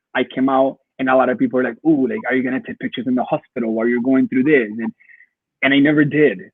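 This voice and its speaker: A man with a Spanish accent at a very fast pace, medium pitch and ordinary pitch variation. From Colombia. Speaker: photographer. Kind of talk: interview. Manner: halting, many repetitions.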